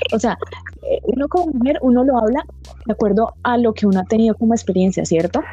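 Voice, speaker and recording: Amid noticeable background noise, a woman races along at a very fast pace, her fairly high voice full of lively intonation. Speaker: tech community podcast host. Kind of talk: casual interview.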